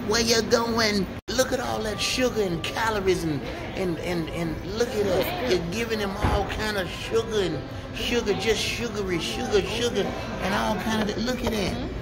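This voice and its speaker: Speech at a moderate pace over loud background noise. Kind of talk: casual vlog chat. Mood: playful teasing. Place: cafe.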